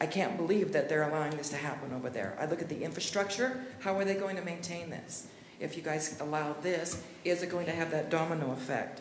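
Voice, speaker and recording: A woman with an American accent and a very deep, low pitch talks at a fairly quick pace with ordinary pitch variation, amid audible room echo and noticeable background noise. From Utah, Kaysville. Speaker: member of the public commenting. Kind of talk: public comment at city meeting. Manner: fast.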